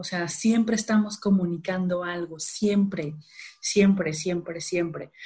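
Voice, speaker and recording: A woman speaks in a Sinaloan accent with a somewhat breathy voice. Her pitch is medium and her intonation fairly even. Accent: Sinaloan Mexican Spanish, regional words. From Mexico, Culiacán, Sinaloa. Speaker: behavioral economics strategist and workshop trainer. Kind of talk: casual interview conversation.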